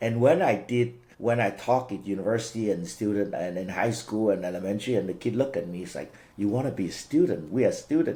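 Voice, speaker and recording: In a Cantonese accent, a man with a fairly low pitch and a dark, mellow tone talks at a very fast pace with lively intonation. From Vietnam, Cantonese-speaking family. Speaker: franchise business owner. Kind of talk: interview. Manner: halting, repeats words.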